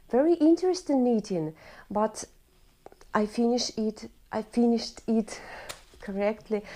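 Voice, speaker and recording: A woman speaks with a Russian accent. Her tone is dark and mellow. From Russia, Urals. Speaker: knitting vlogger. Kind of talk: casual tutorial-style podcast. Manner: halting; partly read from prepared notes.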